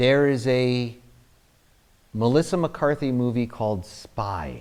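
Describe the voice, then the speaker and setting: A very slow man with a New Jersey accent at medium pitch, with ordinary pitch variation, in a very clean recording with a silent background. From New Jersey, US. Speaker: actor. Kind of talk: interview, anecdotes. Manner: halting, many fillers.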